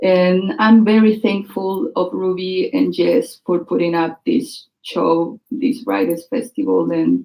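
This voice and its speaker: This woman has a strong Chilean accent and vocal fry, her intonation lively. She speaks very slowly yet with hardly any pauses. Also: medium pitch for a woman. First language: Spanish. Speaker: writer and performer. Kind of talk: speech before a reading. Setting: stage with audience. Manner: halting.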